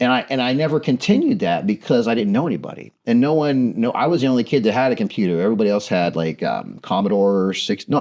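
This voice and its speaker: Talking at a very fast pace with hardly any pauses, a man at medium pitch uses lively intonation against a quiet background. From US Midwest, southern Ohio near Wheeling. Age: 50s. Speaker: storyteller and TV producer, interviewee. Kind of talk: interview, casual chat. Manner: halting, many false starts.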